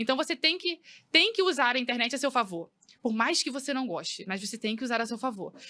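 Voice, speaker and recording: Speaking at a fairly quick pace, a woman uses a high, bright, sharp voice with ordinary pitch variation. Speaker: hairdresser, former bank employee. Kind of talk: podcast interview. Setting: studio. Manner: fast.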